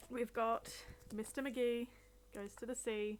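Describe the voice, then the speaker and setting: A high-pitched woman's voice with music in the background. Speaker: streamer. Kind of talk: casual chat. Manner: loud; halting.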